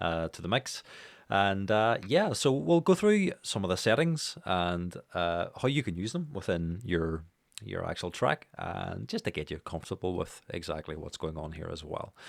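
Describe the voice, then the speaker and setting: This man has a fairly low pitch, with very wide pitch swings and big swings in loudness. The recording is very clean, with a silent background. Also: moderate pace. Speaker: music production teacher. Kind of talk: tutorial. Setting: home studio, speaking into microphone. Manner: casual, many fillers.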